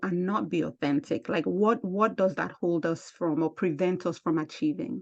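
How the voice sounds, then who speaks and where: Speaking at a moderate pace with hardly any pauses, a woman with a strong African accent uses lively intonation and a fairly low pitch against a quiet background. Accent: thick African. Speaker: podcast host and speaker. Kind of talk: interview conversation.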